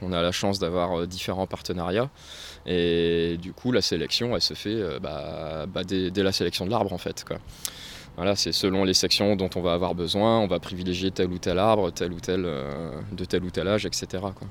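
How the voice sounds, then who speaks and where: This man's very deep, low voice holds fairly even intonation and moves at a moderate speed. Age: 30s. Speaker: carpenter, site coordinator. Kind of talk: interview.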